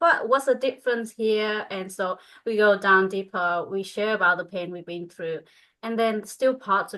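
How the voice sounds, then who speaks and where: A woman with a Vietnamese accent speaks at a medium pitch with ordinary variation and a bright, sharp tone. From northern Vietnam. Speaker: spiritual coach. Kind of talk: group coaching call. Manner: halting.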